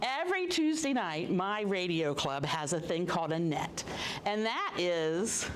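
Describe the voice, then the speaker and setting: With noticeable background noise and audible room echo, a woman speaks at a fairly slow pace in a fairly low pitch, her intonation lively and her loudness very even. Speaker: amateur radio operator giving a talk. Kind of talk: public talk to an audience. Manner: animated.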